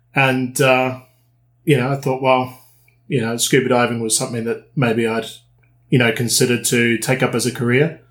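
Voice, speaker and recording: On a very clean recording with a silent background, a man speaks in a New Zealand accent at a moderate pace, his intonation monotone and flat. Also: medium pitch for a man. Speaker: dive instructor and dive trip operator. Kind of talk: casual interview.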